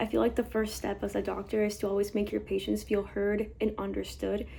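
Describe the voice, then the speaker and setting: A woman with a Spanish accent is captured on a very clean recording with a silent background. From Mexico, then Texas from age eight. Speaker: medical student. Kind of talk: testimony.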